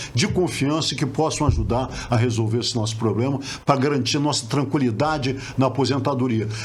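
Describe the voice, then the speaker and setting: Amid noticeable background noise and audible room echo, a man of medium pitch speaks at a fairly quick pace. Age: 70s. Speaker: retired oil worker, pension board candidate. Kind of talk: interview.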